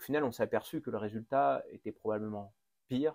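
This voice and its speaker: A man talks in a plain, everyday voice with ordinary pitch variation and a dry, close sound with no echo. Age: 30s. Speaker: podcast host and mayor. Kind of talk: interview.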